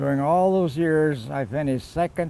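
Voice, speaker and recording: With an American accent, a man with a fairly high pitch and a dark, mellow tone speaks at a fairly slow pace with ordinary pitch variation. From California. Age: 80s+. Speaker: retired golf professional. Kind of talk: recorded acceptance speech.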